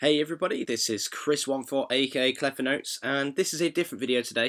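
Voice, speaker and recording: A man with a British accent speaks at a very fast pace with ordinary pitch variation. The recording is very clean with a silent background. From Britain. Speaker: composer. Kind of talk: tutorial. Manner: muffled, slurry; casual, hesitant.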